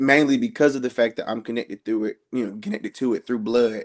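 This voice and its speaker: This is a man speaking. He has an American accent. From US South, Georgia (Augusta). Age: 20s. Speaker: blues musician. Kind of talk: panel discussion introduction. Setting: video call.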